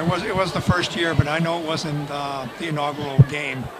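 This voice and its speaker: Noticeable background noise sits behind a man's voice. He talks at a moderate pace and fairly high pitch with fairly even intonation. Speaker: contest winner and fan. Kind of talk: casual interview chat. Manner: halting, with many filler words.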